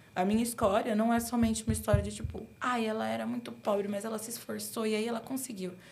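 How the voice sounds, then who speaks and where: Audible room echo surrounds a woman speaking at medium pitch and a fairly quick pace. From São Paulo, Brazil (Guaianases, east side). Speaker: UX/UI designer. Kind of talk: casual interview. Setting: studio.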